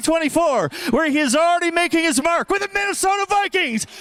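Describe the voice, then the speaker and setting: A man talking at a very fast pace, dry and close with no echo, over noticeable background noise. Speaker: gala emcee. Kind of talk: event speech to live audience. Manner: animated.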